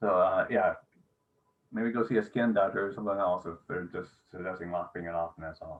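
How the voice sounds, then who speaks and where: At a fairly quick pace, a man talks in an ordinary speaking voice with a fairly low pitch and fairly even intonation. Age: 50s. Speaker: channel host, interviewer. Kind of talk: casual interview chat.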